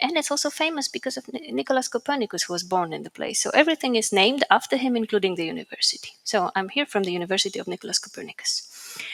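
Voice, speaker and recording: A woman speaks very fast at a fairly high pitch, with very wide pitch swings and hardly any pauses. The sound is dry and close with no echo, with noticeable background noise. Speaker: physicist. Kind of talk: conference talk.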